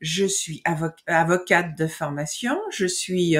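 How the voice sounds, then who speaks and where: A somewhat breathy woman at a fairly low pitch, against a quiet background. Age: 60s. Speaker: foundation director. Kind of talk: interview. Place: home room.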